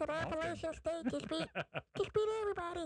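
A squeaky put-on character voice at an extremely high pitch moves along at a fairly quick pace. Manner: excited, announcing news.

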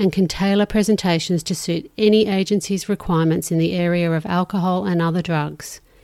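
With an Australian accent, a woman talks fairly quickly at a fairly low pitch, keeping her intonation fairly even. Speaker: podcast host. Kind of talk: interview.

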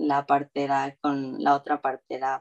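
The sound of a woman talking is dry and close, with no echo at all. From Mexico, Veracruz. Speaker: new mother sharing birth story. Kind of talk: interview testimony.

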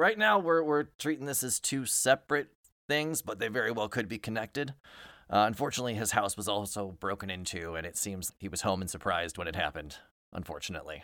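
A man puts on a raspy character voice, fairly low in pitch. He talks at a fairly quick pace with very wide pitch swings. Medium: actual play. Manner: polite, apologetic, methodical.

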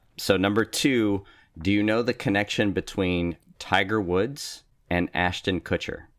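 A man speaks fairly slowly in a plain, everyday voice with very even loudness. The recording is very clean, with a silent background and a dry, close sound with no echo. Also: fairly low pitch for a man, ordinary pitch variation. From US West Coast, East Bay area of California. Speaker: husband of the host, fill-in co-host. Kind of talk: casual chat.

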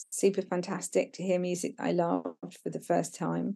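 A woman talks in a southern English accent. Her pace is fairly slow. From Brighton, England. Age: 50s. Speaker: documentary photographer. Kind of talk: casual chat. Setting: outdoors.

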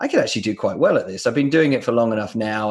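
The speaker is a man with a southern English accent. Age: 40s. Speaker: podcast host. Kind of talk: casual interview chat.

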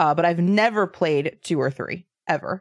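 An ordinary speaking voice from a woman, fairly low in pitch, with lively intonation at a moderate pace, in a dry, close sound with no echo. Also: very clean recording, silent background. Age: 30s. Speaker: podcast host and streamer. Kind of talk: casual chat. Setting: live stream.

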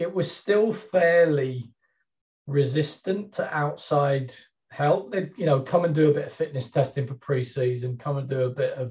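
The speaker has an English accent and a dark, mellow tone that is somewhat breathy. The pace is moderate, with ordinary pitch variation. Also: man. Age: 50s. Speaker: sports performance strategist. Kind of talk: interview.

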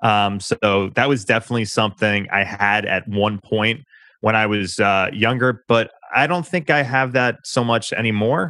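With an American accent and a bright, sharp tone, a man talks at a moderate pace with ordinary pitch variation over a very clean recording with a silent background. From New York. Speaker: public relations firm founder, former journalist. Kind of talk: interview.

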